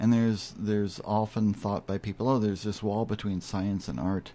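The man's voice is fairly low in pitch, with a dark, mellow tone. He keeps a moderate pace with ordinary pitch variation. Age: 50s. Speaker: bow maker. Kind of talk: radio interview, casual conversation. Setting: radio studio.

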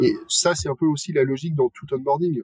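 This man's voice sits fairly high and is somewhat breathy, with ordinary pitch variation and a dry, close sound with no echo. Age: 30s. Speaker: head of people at a robotics company. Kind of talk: casual panel discussion.

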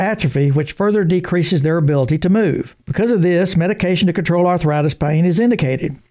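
A man speaks at a high pitch with a dark, mellow tone. His pace is very fast, with ordinary pitch variation. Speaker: veterinarian. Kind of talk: scripted radio segment.

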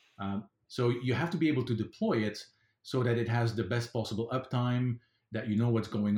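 A man's dark, mellow, somewhat breathy voice at a medium pitch, moderate in pace, with ordinary pitch variation. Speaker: FileMaker consultant and conference speaker. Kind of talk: casual interview chat.

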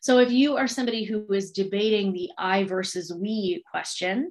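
With a normal speaking voice, a woman speaks at medium pitch and ordinary pitch variation. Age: 30s. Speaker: podcast host, business coach. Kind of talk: casual chat.

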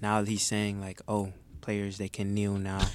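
On a very clean recording with a silent background, a man with a normal speaking voice talks at a moderate pace, fairly low in pitch and with fairly even intonation. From Detroit, Michigan. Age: 20s. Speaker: intern, college student. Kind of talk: casual chat.

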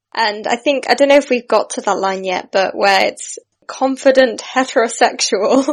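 Spoken with a British accent at a moderate pace, the voice shows ordinary pitch variation. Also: woman, high pitch for a woman. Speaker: actress. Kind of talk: casual chat.

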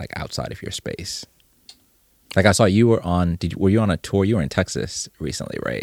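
A man's fairly quick speech with lively intonation and vocal fry. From Zimbabwe. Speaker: podcast host. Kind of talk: casual interview.

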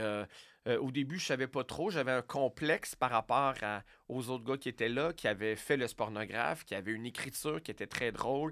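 Here a man talks at a moderate pace in a plain, everyday voice, medium in pitch, with ordinary pitch variation. The recording is very clean, with a silent background. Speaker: radio host and comedian. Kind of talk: casual interview.

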